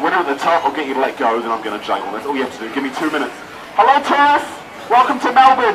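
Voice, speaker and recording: Over noticeable background noise, a man talks at a very fast pace in a fairly high pitch, his animated tone marked by very wide pitch swings. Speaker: street performer comedian. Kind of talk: street comedy show patter to a live crowd. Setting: outdoors, live audience. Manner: animated, joking, quick-witted crowd banter; constantly interrupts himself with laughs and asides. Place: street. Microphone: camera far.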